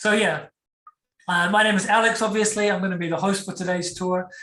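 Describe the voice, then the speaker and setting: This man has a New Zealand accent. His tone is bright and sharp. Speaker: tour guide. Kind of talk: online guided tour presentation. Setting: video call. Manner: casual, many fillers.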